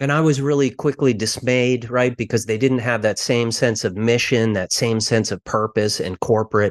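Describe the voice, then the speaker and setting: In a dry, close recording with no echo and a quiet background, a man speaks at medium pitch and a moderate pace with ordinary pitch variation, in a normal speaking voice. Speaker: author and investment firm CEO. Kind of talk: interview.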